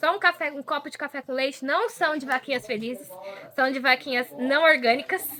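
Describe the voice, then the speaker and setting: High-pitched woman in a rural Brazilian accent, voice raised and projected, ordinary pitch variation, fairly quick pace, noticeable background noise. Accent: rural Brazilian, sing-song. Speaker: model and social media worker, volunteer. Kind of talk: casual chat. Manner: sing-song intonation; expressive.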